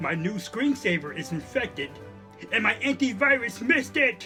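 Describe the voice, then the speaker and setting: A man's cartoonish character voice over clear background music. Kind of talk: cyber security awareness skit. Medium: puppet. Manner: distressed, pleading.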